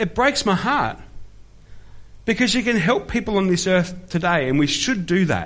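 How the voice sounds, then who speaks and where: With an Australian accent, a man with a high pitch and lively intonation speaks at a moderate pace with long, frequent pauses and very even loudness, amid audible room echo. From Australia (Melbourne). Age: 40s. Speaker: pastor. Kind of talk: sermon. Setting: church.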